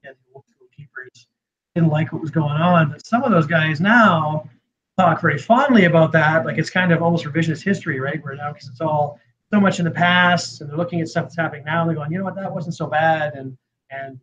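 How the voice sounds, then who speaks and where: A man with a fairly high voice and a slight Canadian accent talks at a fairly quick pace. His pitch varies in an ordinary way, while his loudness swings widely. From Canada. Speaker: custom vivarium builder and TV personality. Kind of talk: casual podcast chat.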